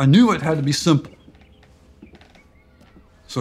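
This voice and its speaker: A man is speaking. Music plays behind him. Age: 70s. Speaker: retired city planner. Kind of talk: documentary interview answer.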